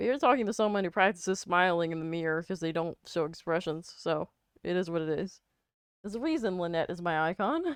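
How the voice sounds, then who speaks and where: A woman speaks at a very fast pace in a fairly low pitch, with ordinary pitch variation. The background is quiet. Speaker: art streamer. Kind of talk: casual chat. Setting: live stream. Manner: more expressive than usual.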